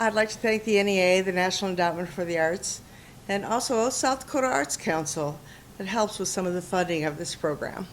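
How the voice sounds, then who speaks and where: Ordinary pitch variation and a fairly quick pace in a plain, everyday voice. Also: woman, medium pitch for a woman. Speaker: interviewer, production company president. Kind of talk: show host introduction.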